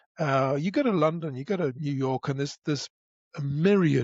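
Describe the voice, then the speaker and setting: A man's fairly high, somewhat breathy voice moves at a moderate pace with ordinary variation in pitch. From northern England, Derbyshire. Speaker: broadcaster and podcast voice. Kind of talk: casual chat. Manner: hesitant, many restarts.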